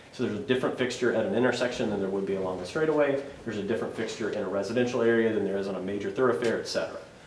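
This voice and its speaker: A man at a medium pitch and a very fast pace, with audible room echo and noticeable background noise. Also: ordinary pitch variation. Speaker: streetlight project consultant. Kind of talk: presentation at city council meeting. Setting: city board meeting.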